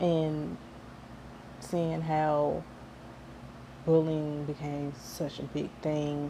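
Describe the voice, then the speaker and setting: A woman's very deep, low voice, dark and mellow, at a very slow pace with monotone, flat intonation, long, frequent pauses, and audible room echo. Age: 20s. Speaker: vlogger sharing personal story. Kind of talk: personal vlog testimony. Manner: halting, repeats words.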